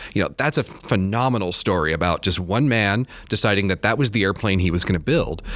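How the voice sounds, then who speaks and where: A man with an American accent talks in a normal speaking voice at a fairly low pitch and a fairly quick pace, with hardly any pauses. His intonation is lively and his loudness very even. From Michigan, Kalamazoo. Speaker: museum curator. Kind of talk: casual chat.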